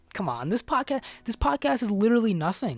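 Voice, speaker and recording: Talking very fast, a woman lets her pitch swing very widely. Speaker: podcast host. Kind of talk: casual monologue. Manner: halting, many fillers and restarts.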